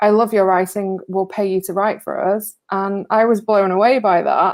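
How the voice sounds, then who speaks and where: In an English accent, a woman speaks on a very clean recording with a silent background. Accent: English accent despite being American. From northwest England. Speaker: recovery writer. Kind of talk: interview on a live stream. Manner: hesitant, many fillers and repeats.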